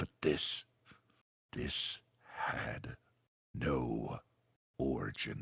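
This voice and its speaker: A raspy, put-on character voice from a man, very deep and low, at a very slow pace with long, frequent pauses. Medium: audio drama.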